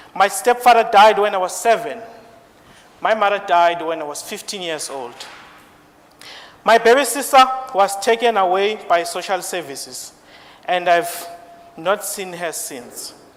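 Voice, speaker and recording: A man with a high voice speaks with ordinary pitch variation, big swings in loudness and long, frequent pauses. Noticeable background noise is present. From South Africa. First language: not English. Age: 20s. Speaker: IT support engineer. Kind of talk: speech. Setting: stage with audience.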